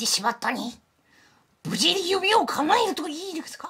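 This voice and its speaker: The put-on character voice is extremely high in pitch and swings very widely up and down. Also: moderate pace. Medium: game stream. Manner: calm, polite, measured.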